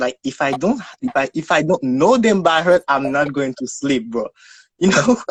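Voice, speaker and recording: A man with a Haitian accent, fairly high in pitch, with lively intonation and a dry, close sound free of echo. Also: moderate pace. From Haiti, Port-au-Prince. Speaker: guest. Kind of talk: casual interview. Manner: halting.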